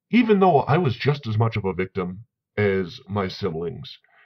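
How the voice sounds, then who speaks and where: Very wide pitch swings at a fairly slow pace, somewhat breathy throughout. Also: man. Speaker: vlogger on men's issues. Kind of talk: commentary vlog reading sources. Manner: stuttering when heated.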